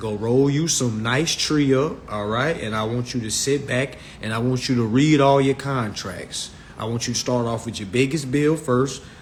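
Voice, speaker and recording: A man with an American accent at a moderate pace with ordinary pitch variation, amid noticeable background noise. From Virginia, US. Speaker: social media live host on consumer finance. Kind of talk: live stream talk. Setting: Instagram live stream. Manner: animated.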